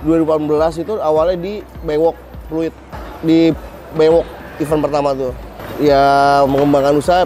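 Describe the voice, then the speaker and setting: Over noticeable background noise, a man talks at a fairly quick pace in a fairly high pitch, with monotone, flat intonation. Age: 30s. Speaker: small business owner. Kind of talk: testimonial. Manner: casual.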